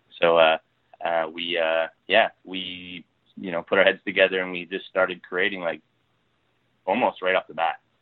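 With a Canadian accent, a man speaks at a moderate pace in a very deep, low voice, his intonation monotone and flat. His loudness swings widely, and he leaves long, frequent pauses. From Ontario, Canada. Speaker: TV writer and producer. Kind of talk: casual interview. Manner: halting, many fillers and repeats.

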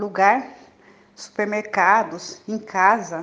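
This woman's voice sits fairly high. She is heard speaking. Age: 60s. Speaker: recovering alcoholic sharing at support meeting. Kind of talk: testimony.

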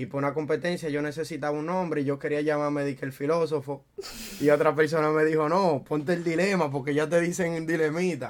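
A man's fairly high voice in a Dominican accent, monotone and flat, at a fairly quick pace. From Dominican Republic, Santo Domingo. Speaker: freestyle rapper. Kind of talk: casual chat.

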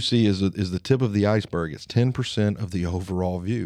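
Over a quiet background, a man talks with an Alabama accent. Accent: Southern US, Alabama twang. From Alabama, US South. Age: 30s. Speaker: podcast host. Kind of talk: solo monologue podcast, personal and casual.

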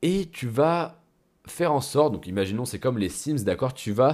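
With very wide pitch swings, a man speaks on a very clean recording with a silent background. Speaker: business coach podcaster. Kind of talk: solo podcast monologue. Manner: casual, conversational.

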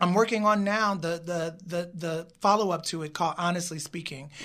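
In a very clean recording with a silent background, a voice with an American accent proceeds at moderate speed. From US Midwest, Chicago South Side. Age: 40s. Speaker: film co-director and writer. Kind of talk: interview.

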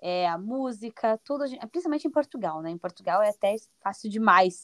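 The speaker has a plain, everyday voice and lively intonation. The pace is moderate, and the sound is dry and close with no echo. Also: woman. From Brazil, Paraná (Curitiba area). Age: 20s. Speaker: Brazilian immigrant in Portugal. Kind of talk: podcast interview.

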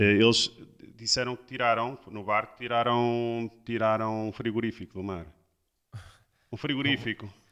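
Speaking at a fairly slow pace with long, frequent pauses, a man uses a medium-pitched voice with fairly even intonation and big swings in loudness. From Porto, northern Portugal. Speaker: surf instructor. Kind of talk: casual chat.

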